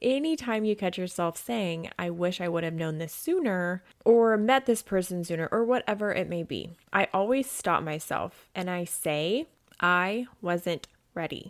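Recorded very clean against a silent background, a woman with a medium pitch speaks at a fairly slow pace in an animated tone with ordinary pitch variation. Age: 30s. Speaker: self-help podcast host and coach. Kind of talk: solo motivational monologue.

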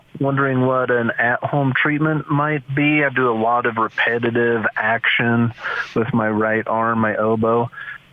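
A man speaks at a medium pitch and a fairly slow pace, with fairly even intonation. His loudness stays very even over noticeable background noise. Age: 40s. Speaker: landscaper caller. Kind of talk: phone call-in question. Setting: phone call.

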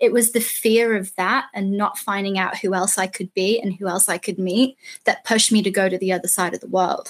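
On a very clean recording with a silent background, a woman with an English accent talks fairly quickly at a medium pitch, her intonation fairly even and her pauses hardly there. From England. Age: 20s. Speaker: traveler. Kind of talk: interview.

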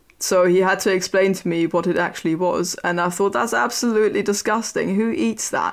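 A woman speaks with a German accent at a medium pitch and a fairly quick pace. She hardly pauses, keeping her loudness very even and her pitch variation ordinary. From Germany, near Berlin (former East). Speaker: historian and podcast co-host. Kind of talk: casual chat. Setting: remote recording. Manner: hesitant, frequent fillers.

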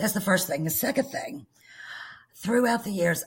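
A woman speaks with lively intonation and an American accent. Her voice is somewhat breathy. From Arkansas, US South. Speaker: flower farmer and artist.

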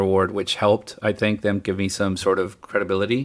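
At a fairly quick pace, a man speaks on a very clean recording with a silent background. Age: 50s. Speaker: film and TV composer. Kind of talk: interview. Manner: casual.

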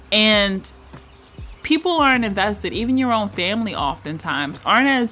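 A woman's voice over noticeable background noise. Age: 30s. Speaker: relationship coach and podcast host. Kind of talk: solo podcast monologue.

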